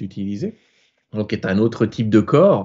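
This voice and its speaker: Here is a man's voice. He talks at a fairly quick pace. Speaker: author and spiritual channeler. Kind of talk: live interview, explaining. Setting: live online broadcast. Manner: fast.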